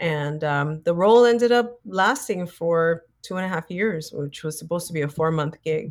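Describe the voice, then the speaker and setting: With an American accent and an ordinary speaking voice, a woman talks at a moderate pace in a fairly low pitch, with ordinary pitch variation and hardly any pauses. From New York City (South Bronx). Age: 50s. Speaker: actress and author. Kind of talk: interview.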